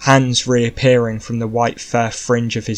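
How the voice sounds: Reading in a natural voice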